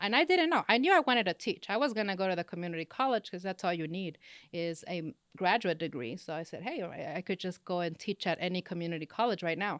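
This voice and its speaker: Someone with a slight Spanish accent talks at a very fast pace with lively intonation, in a very clean, dry, close recording with no echo and a silent background. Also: woman, medium pitch for a woman. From Los Angeles, California, Mexican-Honduran family. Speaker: business professor. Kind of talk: interview.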